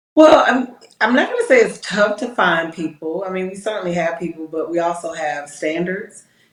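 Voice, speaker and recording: A woman with an American accent speaks in a normal speaking voice at medium pitch. Her intonation is lively and her pace is moderate. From US South, Georgia (Decatur, metro Atlanta). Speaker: police captain. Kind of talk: interview.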